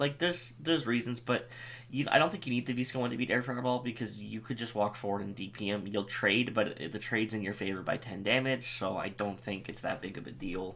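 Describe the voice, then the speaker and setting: Using a normal speaking voice, this man talks at a fairly quick speed, his pitch varying in an ordinary way. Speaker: gaming youtuber. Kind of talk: tutorial.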